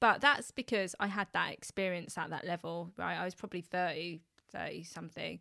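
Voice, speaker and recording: A woman with a London accent speaks at a fairly quick pace at a fairly low pitch with vocal fry, ordinary pitch variation and a bright, sharp tone. The sound is dry and close with no echo, on a very clean recording with a silent background. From West London, England. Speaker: customer experience expert and public speaking coach. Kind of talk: casual chat.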